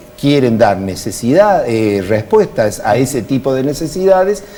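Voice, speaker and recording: Speaking at a fairly slow pace with hardly any pauses, a man of medium pitch swings his pitch very widely and his loudness a great deal over noticeable background noise. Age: 60s. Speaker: politician and university lecturer. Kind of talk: TV interview.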